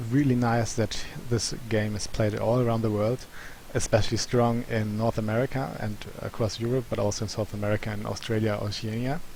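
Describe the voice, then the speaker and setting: Noticeable background noise accompanies a man with a non-native accent who speaks at a fairly quick pace. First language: not English. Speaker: gaming YouTuber presenting survey results. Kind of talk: commentary on survey results. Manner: halting, many fillers.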